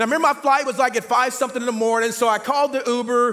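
A man with an extremely high pitch talks very fast in a raised, projected voice over noticeable background noise. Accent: American. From Oklahoma City. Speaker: guest preacher. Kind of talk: casual, energetic sermon. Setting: church stage. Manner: fast talker.

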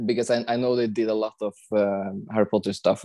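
Here a man talks in a Norwegian accent at a fairly low pitch. His intonation is monotone and flat, at a moderate pace. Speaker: film location hunter. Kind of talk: casual chat. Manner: halting.

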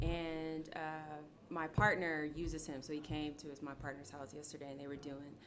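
A woman with an American accent speaks at a very deep, low pitch in a flat monotone. There is audible room echo. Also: moderate pace. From Ohio, Akron. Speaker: yoga studio owner and teacher. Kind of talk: casual chat.

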